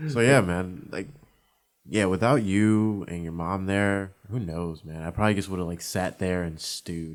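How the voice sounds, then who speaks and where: A man with a fairly low pitch speaks at a moderate pace, his loudness swinging widely. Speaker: podcast guest, wheelchair user. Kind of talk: casual chat. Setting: studio. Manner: quiet.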